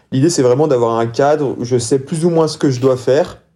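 Here a man speaks at medium pitch with a dark, mellow tone. His intonation is fairly even and his pace moderate. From France, city-raised. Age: 20s. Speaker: champion trail runner. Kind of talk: podcast interview.

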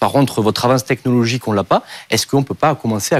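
This man talks at a very fast pace with medium pitch. The sound is dry and close, with no echo. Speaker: startup founder. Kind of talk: pitch and Q&A. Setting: studio.

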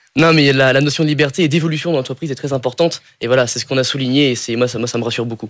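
Very fast speech with fairly even intonation. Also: man, medium pitch for a man. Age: 20s. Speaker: engineering student. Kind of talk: job interview on radio. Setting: studio.

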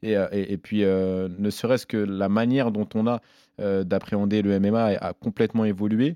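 A man talks at a fairly slow pace with a fairly low pitch and fairly even intonation in a dark, mellow tone. The sound is dry and close with no echo, against a quiet background. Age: 30s. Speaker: MMA fighter and commentator. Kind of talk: casual chat. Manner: halting.

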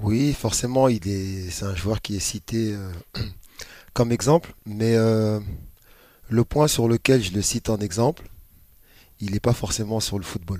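A man of fairly low pitch with a dark, mellow tone and ordinary pitch variation, at a very slow pace with long, frequent pauses, on a very clean recording with a silent background. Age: 40s. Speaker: youth football coach. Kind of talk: interview. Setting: club training ground.

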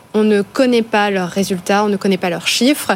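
A woman talks at a moderate pace at medium pitch. Hers is an unremarkable speaking voice. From France, Ardennes. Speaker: tech consultant. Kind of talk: panel discussion.

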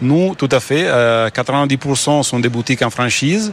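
A man with an Italian accent talks at a very slow pace. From Italy. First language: Italian (speaking French). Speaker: company founder. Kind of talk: business interview.

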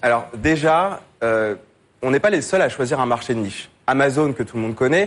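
Fairly quick and fairly high-pitched, a man talks with lively intonation in a plain, everyday voice. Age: 20s. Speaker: fintech startup founder. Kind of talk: business pitch. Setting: TV studio with audience.

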